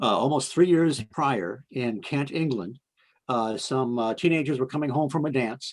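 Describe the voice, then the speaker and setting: A man speaks at a medium pitch. His pace is moderate and his pitch variation ordinary. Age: 60s. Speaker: paranormal researcher. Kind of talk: interview. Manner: halting, many fillers.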